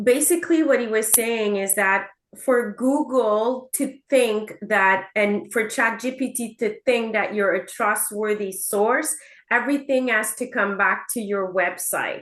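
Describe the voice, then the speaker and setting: A woman's fairly high-pitched voice with a Quebec accent, against a quiet background. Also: ordinary pitch variation, fairly slow pace. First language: French. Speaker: real estate agent. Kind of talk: casual chat. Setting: video call.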